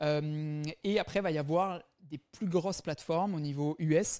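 A normal speaking voice from a man, fairly high in pitch, with fairly even intonation. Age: 20s. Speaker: startup founder. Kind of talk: interview. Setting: remote interview.

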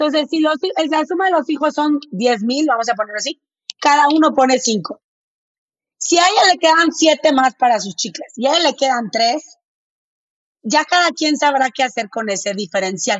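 Using lively intonation, a woman with a northern Mexican accent speaks at a high pitch and a moderate pace. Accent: northern Mexican, blunt-sounding. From Mexico, Monterrey. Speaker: finance educator. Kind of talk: interview.

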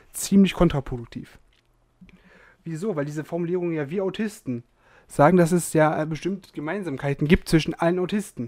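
On a very clean recording with a silent background, a man with a high-pitched voice and a dark, mellow tone talks at a fairly quick pace. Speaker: podcast co-host. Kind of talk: casual chat.

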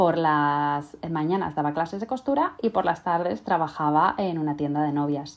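A woman's very deep, low voice with ordinary pitch variation, a moderate pace and hardly any pauses, on a very clean recording with a silent background. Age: 30s. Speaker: podcast host and sewing teacher. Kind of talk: casual monologue. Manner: halting, frequent word repetitions.

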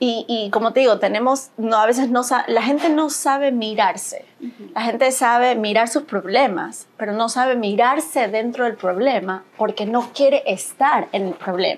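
A woman has an ordinary speaking voice and a fairly high pitch. She talks at a moderate pace with ordinary pitch variation. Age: 40s. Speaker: spiritual mentor and yoga teacher. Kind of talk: casual interview chat.

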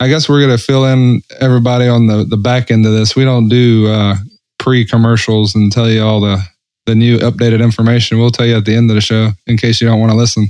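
In a Southern US accent, a man rattles off words at a very fast pace, medium in pitch, monotone and flat, with very even loudness. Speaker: podcast co-host. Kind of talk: casual chat.

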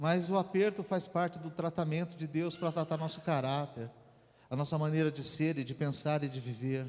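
A man talks in an ordinary speaking voice at a fairly high pitch. He keeps a moderate pace with ordinary pitch variation. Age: 40s. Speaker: pastor. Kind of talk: sermon. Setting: church.

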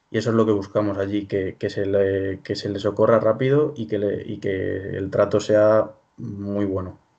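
With a dark, mellow tone, the speaker talks at a fairly slow pace with fairly even intonation over a quiet background. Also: man, fairly low pitch for a man. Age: 20s. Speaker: startup co-founder and university student. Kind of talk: interview. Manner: halting, many fillers.

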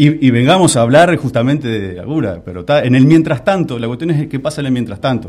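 A man with a medium pitch and vocal fry talks at a very fast pace with hardly any pauses. His loudness swings widely. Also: lively intonation. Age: 40s. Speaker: Parkinson's patient and association founder. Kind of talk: radio interview.

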